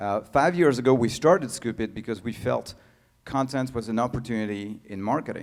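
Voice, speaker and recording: A man with a French accent talks at a fairly quick pace. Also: medium pitch for a man, ordinary pitch variation. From France. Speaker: tech founder and CEO. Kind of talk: conference talk. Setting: stage with audience. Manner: halting, many fillers.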